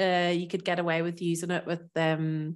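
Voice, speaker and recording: A woman speaks with a Northern Irish accent at a fairly low pitch. The recording is very clean, with a silent background. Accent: Northern Irish, living in France. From Northern Ireland. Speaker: food expert guest. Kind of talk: casual interview chat.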